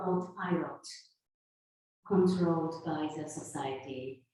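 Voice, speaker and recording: A woman with a Japanese accent talks at a very slow pace. Her intonation is lively, and audible room echo surrounds her. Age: 50s. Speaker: sound healer. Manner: loud; halting.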